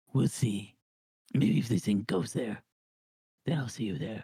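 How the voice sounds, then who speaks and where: Putting on a raspy character voice, a man talks at a moderate pace and a medium pitch. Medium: actual play. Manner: casual, offhand, swears easily.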